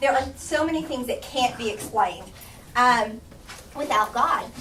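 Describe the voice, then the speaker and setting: A woman's raised, projected voice in an American accent, with noticeable background noise and audible room echo. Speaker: Sunday school teacher. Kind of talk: Bible study lesson. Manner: fast; halting.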